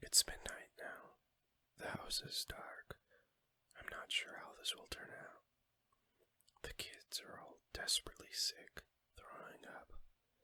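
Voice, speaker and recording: Whispering, the speaker moves at a fairly slow pace. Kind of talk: audiobook reading. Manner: whispered.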